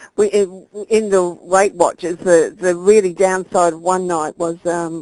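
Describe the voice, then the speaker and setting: A woman with an Australian accent, medium-pitched, speaking very slowly in a dark, mellow tone with fairly even intonation. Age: 50s. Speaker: weight loss client. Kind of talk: interview.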